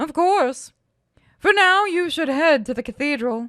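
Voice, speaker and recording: A high pitch marks this put-on character voice. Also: moderate pace. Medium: read story. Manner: measured, self-assured.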